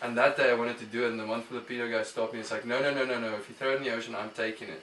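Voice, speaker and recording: A man with an Afrikaans South African accent talks very fast at a medium pitch in a monotone, flat intonation. Noticeable background noise and audible room echo surround him. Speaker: musician. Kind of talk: casual interview. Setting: studio. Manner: hesitant, many fillers.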